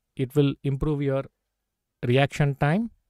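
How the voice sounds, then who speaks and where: Fairly high male speech in a South Indian accent, with a dry, close sound and no echo. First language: Tamil or Telugu. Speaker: chess grandmaster and coach. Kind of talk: live stream chess lesson. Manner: frequent 'okay' fillers.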